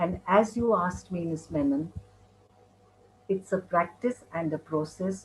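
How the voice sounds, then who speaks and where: Here a woman speaks at medium pitch. Her voice is somewhat breathy. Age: 60s. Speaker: mindfulness speaker. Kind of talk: interview.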